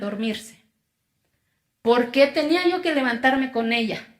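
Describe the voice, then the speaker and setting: A woman speaks at a high pitch in an Oaxacan accent. Her intonation stays fairly even. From Mexico, Oaxaca (Zapotec community). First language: Zapotec (speaking Spanish). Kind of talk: testimony speech.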